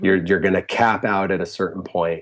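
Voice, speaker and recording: Heard on a very clean recording with a silent background, the voice carries a Connecticut accent and fairly even intonation. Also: man. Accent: US Northeast (Connecticut) English. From Connecticut, Fairfield County. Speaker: music therapist and musician. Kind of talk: casual interview chat.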